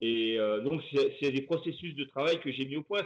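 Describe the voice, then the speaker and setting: A man talks at a moderate pace in a fairly high voice. His pitch moves in an ordinary way. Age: 60s. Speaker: comics artist. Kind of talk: interview. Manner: hesitant, many fillers and repetitions.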